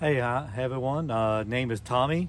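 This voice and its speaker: Speaking with a South Louisiana accent, a man uses a medium pitch, ordinary pitch variation and a moderate pace. Audible room echo and noticeable background noise surround him. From South Louisiana, Terrebonne Parish. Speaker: ham radio operator. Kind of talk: casual interview.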